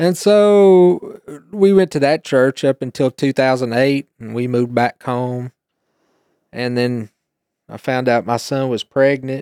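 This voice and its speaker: In an unremarkable speaking voice, a man speaks at a medium pitch and a fairly slow pace with ordinary pitch variation, in a dry, close sound with no echo. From East Tennessee, US. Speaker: guest, youth teacher and churchgoer. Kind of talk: testimony, casual conversation.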